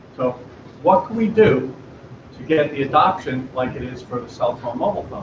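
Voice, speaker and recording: A man's fairly high voice at a moderate pace, with lively intonation and big swings in loudness over noticeable background noise. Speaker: startup presenter. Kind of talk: pitch presentation.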